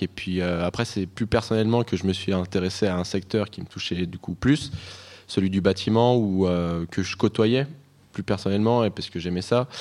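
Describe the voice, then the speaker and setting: This man has a very deep, low voice. He speaks at a moderate pace with ordinary pitch variation. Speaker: master's student. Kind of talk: radio interview.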